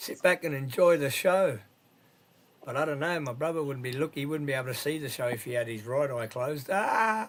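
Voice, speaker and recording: This man talks fairly quickly, his fairly high pitch showing ordinary variation. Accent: Australian. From New South Wales, Australia. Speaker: live stream host. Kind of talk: casual chat. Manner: animated.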